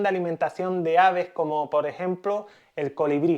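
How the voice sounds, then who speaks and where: A man with a high voice for a man speaks at a moderate pace with fairly even intonation against a quiet background. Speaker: beekeeper. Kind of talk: tutorial.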